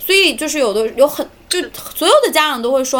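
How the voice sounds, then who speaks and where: A woman talks at a very fast pace with a raised, projected voice. Her pitch is high and her intonation lively. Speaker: children's English teacher. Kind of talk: casual chat.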